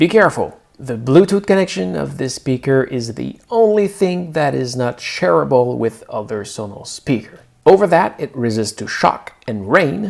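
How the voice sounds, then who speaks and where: With a French Canadian accent, a man speaks at a moderate pace in a fairly high pitch, his voice making very wide pitch swings and big swings in loudness. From Quebec. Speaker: tech reviewer. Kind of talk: product review tutorial.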